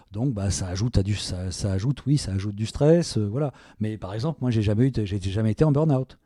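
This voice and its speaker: A man speaks at a fairly quick pace in a fairly low pitch. His tone is dark and mellow, with ordinary pitch variation. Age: 60s. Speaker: self-employed worker near retirement, father of the podcaster. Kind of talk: interview. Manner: halting, many hesitations.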